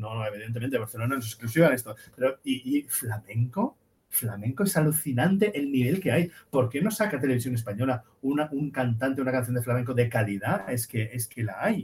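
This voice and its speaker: With lively intonation and a somewhat breathy sound, a man talks at a fairly quick pace. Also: medium pitch for a man. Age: 50s. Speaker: architect and music student. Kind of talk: casual chat.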